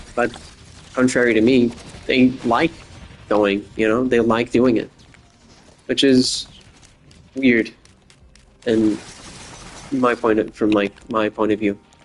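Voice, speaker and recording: A man with an American accent talks at a very slow pace, in a monotone, flat intonation at very even loudness. He leaves long, frequent pauses, and noticeable background noise can be heard. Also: medium pitch for a man. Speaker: gaming podcaster. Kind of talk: casual monologue. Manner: rambling, filler-heavy.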